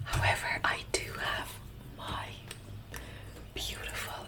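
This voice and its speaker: A woman whispers while noticeable noise carries on behind her. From Russia, grew up in Ireland. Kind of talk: ASMR talk to camera. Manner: soft, whispering.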